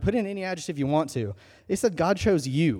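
Over a silent background in a very clean recording, a man talks with a dark, mellow tone and lively intonation. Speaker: student pastor. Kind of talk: sermon. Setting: church. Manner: fast.

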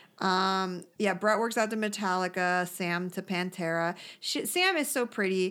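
At a fairly slow pace, a woman in an animated tone speaks at a medium pitch with ordinary pitch variation on a very clean recording with a silent background. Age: 30s. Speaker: podcast co-host recapping a reality TV show. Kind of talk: casual chat.

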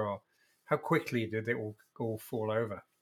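A man talks with an English accent. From England. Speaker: podcast host. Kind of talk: interview.

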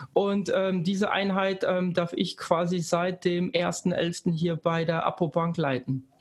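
This man has a high pitch and speaks at a very slow pace with hardly any pauses, very even loudness and fairly even intonation. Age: 30s. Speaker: bank data analytics head. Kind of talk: casual interview. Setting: Düsseldorf office.

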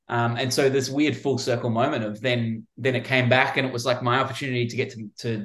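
At a fairly quick pace, a man with an Australian accent speaks at a medium pitch against a quiet background. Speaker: film director. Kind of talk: interview.

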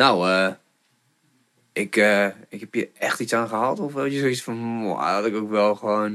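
A man speaks at a moderate pace in a bright, sharp tone with a fairly low pitch and ordinary pitch variation. The recording is very clean, with a silent background. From Groningen, Netherlands. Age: 30s. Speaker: podcast host. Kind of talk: casual interview chat. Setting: studio. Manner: animated, many fillers.

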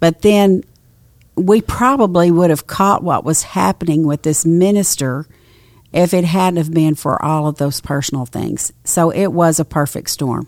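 In a very clean recording with a silent background, a woman with an East Texas accent speaks at a fairly slow pace, her fairly low pitch showing ordinary variation. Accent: East Texas Southern. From East Texas (Nacogdoches). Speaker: pastor's wife. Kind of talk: casual chat.

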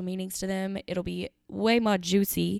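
On a very clean recording with a silent background, a woman talks in an animated tone at medium pitch. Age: 20s. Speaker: podcast host and student. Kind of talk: casual solo talk. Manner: animated, laughing often.

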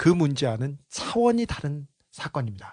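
In a dry, close sound with no echo, a somewhat breathy voice moves at a very slow pace through very wide pitch swings. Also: man. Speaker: investigative journalist. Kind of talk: casual chat.

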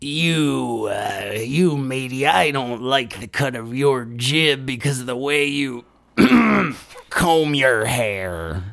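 A man speaks at a very slow pace in a put-on character voice, his pitch medium. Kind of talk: pirate speech.

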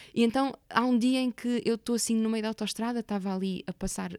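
This woman has an unremarkable speaking voice, fairly high in pitch with ordinary pitch variation, and she talks at a fairly quick pace. The sound is dry and close with no echo, and the recording is very clean, with a silent background. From Portugal, Porto area. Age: 30s. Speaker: actress and theatre maker. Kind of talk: interview conversation.

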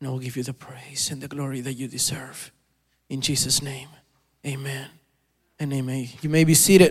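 A man at a medium pitch speaks at a moderate pace, somewhat breathy, with fairly even intonation. His loudness swings widely, and he pauses long and often. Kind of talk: fervent prayer. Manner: reverent, earnest.

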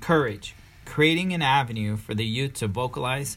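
Medium pitch, ordinary pitch variation and a moderate pace from a male speaker with an ordinary speaking voice. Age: 30s. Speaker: podcast co-host and father. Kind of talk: scripted podcast intro.

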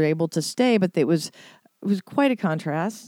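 At a fairly slow pace, a woman speaks in a fairly low, dark, mellow voice, the sound dry and close with no echo in a very clean recording with a silent background. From US Midwest, St. Louis. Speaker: musician, former singer. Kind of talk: casual chat. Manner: halting, many fillers.

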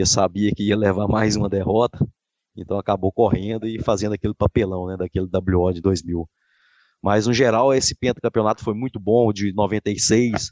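With a normal speaking voice, a man talks in a fairly low pitch at a moderate pace, his intonation fairly even. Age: 40s. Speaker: civil servant and football fan. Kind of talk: interview.

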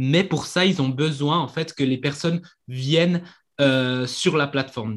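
A man speaks at a fairly slow pace, his pitch fairly high. It is an ordinary speaking voice. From Switzerland. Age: 20s. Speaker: marketing coach. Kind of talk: interview.

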